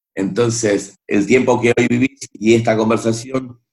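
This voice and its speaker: Fairly even intonation at a moderate pace in a plain, everyday voice. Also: man. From Argentina, Buenos Aires. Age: 40s. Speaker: singer and music producer. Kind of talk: interview.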